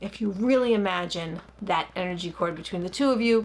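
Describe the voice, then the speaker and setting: A woman's medium-pitched voice with a Long Island accent, ordinary pitch variation and a fairly quick pace. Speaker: licensed therapist. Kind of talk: guided meditation instruction; casual explanatory talk.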